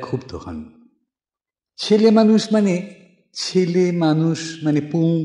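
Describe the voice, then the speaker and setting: A man's voice has a dark, mellow tone. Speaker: poetry reciter. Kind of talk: poetry reading.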